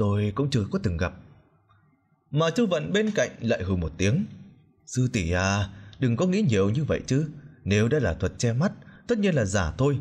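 A man's medium-pitched, somewhat breathy voice with very wide pitch swings, very even loudness, a moderate pace and long, frequent pauses, on a very clean recording with a silent background. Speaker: audiobook narrator. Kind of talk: reading aloud.

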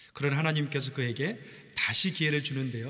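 A man talks at a fairly quick pace with a bright, sharp tone. The background is quiet. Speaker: pastor. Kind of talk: sermon. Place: church. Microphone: podium.

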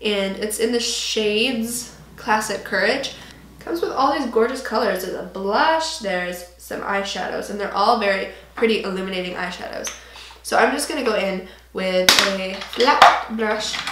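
Room echo is audible as a woman speaks at a moderate pace with ordinary pitch variation. Light background noise sits underneath. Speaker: beauty vlogger. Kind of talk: tutorial. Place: home room.

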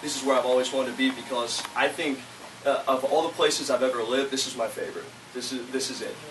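A man's medium-pitched voice with an American accent, very fast and flat in a monotone, against noticeable background noise. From Florida (Lake County). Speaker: political candidate. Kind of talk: candidate forum Q&A. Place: meeting room. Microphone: camera far.

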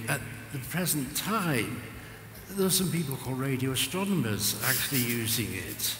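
Lively intonation moves along at a moderate pace, with audible room echo and light background noise. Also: man. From England, Cheshire; England. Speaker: retired radio astronomy engineer. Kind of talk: interview on stage. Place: stage.

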